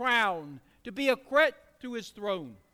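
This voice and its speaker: Over a very clean recording with a silent background, a man uses a raised, projected voice at an extremely high pitch in a bright, sharp tone. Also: dry, close sound with no echo. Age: 60s. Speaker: pastor. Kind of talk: sermon.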